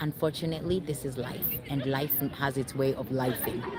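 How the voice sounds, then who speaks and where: A woman speaks at a moderate pace with a very deep, low pitch. Crowd noise can be heard in the background. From Kenya. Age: 40s. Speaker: vlogger. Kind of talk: casual vlog talk. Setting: outdoors. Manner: halting.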